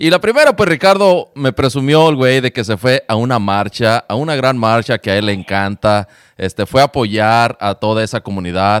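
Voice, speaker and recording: In a plain, everyday voice, a man at medium pitch talks at a moderate pace with lively intonation and hardly any pauses, recorded with a dry, close sound and no echo. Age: 40s. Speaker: podcast host, former radio host. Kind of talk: casual chat. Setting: remote recording.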